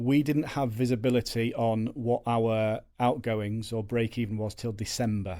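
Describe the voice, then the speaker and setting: A man with a Yorkshire accent speaks at a fairly slow pace in a very clean recording with a silent background. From Yorkshire, northern England. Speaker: agency co-owner, salesman. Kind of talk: podcast interview. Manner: loud.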